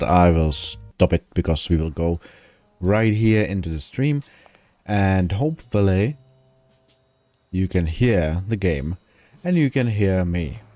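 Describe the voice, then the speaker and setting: Music plays in the background while a man with a very deep, low pitch talks. He goes fairly slowly, with long, frequent pauses. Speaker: gaming streamer. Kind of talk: live gameplay commentary. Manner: halting, many self-corrections.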